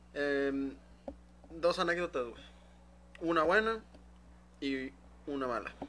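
Speaking very slowly with long, frequent pauses, a man with a Mexican accent uses a fairly high pitch and ordinary pitch variation. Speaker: podcast host. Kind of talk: casual chat.

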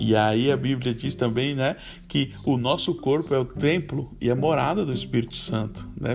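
This man's voice has vocal fry. His intonation is lively. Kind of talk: devotional talk. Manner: halting.

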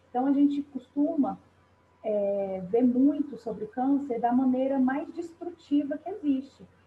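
A woman's high voice moves at a fairly slow pace with ordinary pitch variation. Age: 30s. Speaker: cancer patient, professional. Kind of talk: testimony interview. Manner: halting.

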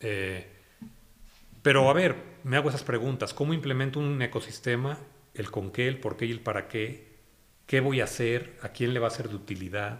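A plain, everyday voice moves at a moderate pace with ordinary pitch variation. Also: man, medium pitch for a man. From Mexico, Guanajuato (Irapuato). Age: 50s. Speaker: media executive. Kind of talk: interview. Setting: at his home.

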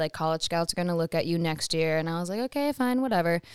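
A woman speaks at a very fast pace with an Upper Midwest accent. The recording is very clean, with a silent background. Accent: Upper Midwest American. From US Midwest, Wisconsin. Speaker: actress and model. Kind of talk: casual chat.

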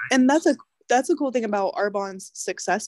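Here a woman speaks in a Midwestern US accent with ordinary pitch variation. The recording is very clean with a silent background, dry and close with no echo. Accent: US Midwest. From Kansas. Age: 20s. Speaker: realtor and network marketer. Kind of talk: casual chat.

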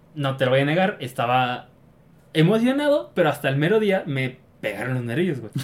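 Lively intonation from a man with an unremarkable speaking voice, fairly high in pitch, at a moderate pace. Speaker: podcast host. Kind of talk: casual chat.

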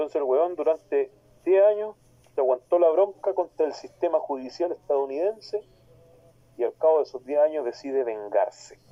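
This man speaks with a Chilean accent at a moderate pace. His fairly high pitch carries lively intonation. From Talcahuano, southern Chile. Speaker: podcast panelist, wrestling personality. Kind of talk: casual chat.

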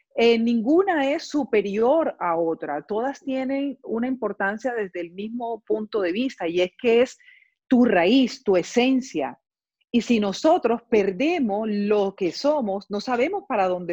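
Fairly slow pace, dark, mellow tone and very wide pitch swings, in a dry, close sound with no echo. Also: woman, fairly high pitch for a woman. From Colombia, Barranquilla. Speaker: dancer and arts foundation founder. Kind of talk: interview.

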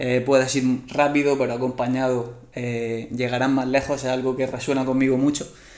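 A man's medium-pitched, monotone, flat delivery at a moderate pace, with audible room echo and noticeable background noise. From Spain, Murcia. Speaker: endurance coach. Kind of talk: casual interview chat.

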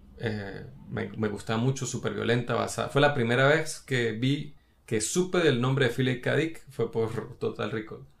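A man at a medium pitch with vocal fry, a moderate pace and ordinary pitch variation. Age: 30s. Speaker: film podcast co-host. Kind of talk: casual chat.

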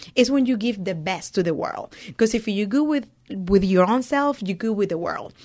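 On a very clean recording with a silent background, a woman speaks in a fairly high pitch with a Spanish accent. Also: lively intonation, moderate pace. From Venezuela. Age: 30s. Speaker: business owner. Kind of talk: casual interview. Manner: laughs often.

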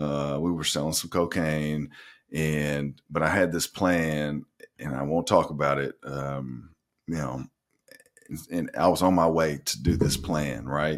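The speaker is a man with a very deep, low pitch. His intonation is fairly even. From Arkansas, North Little Rock. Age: 40s. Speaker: nurse practitioner in recovery. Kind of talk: casual interview.

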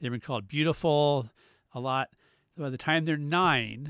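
This very clean recording has a silent background and a dry, close sound with no echo, and the voice shows ordinary pitch variation. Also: man. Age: 50s. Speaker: podcast co-host. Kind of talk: casual chat.

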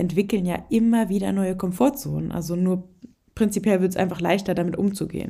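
With a dark, mellow tone and vocal fry, a woman speaks at medium pitch and a moderate pace. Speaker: podcast host and fitness and nutrition coach. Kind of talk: solo podcast monologue with coaching advice. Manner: casual, with frequent filler sounds.

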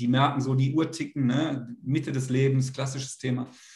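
Somewhat breathy, a man talks at a fairly quick pace with a fairly high pitch. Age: 40s. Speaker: men's coach. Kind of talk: interview. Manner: halting.

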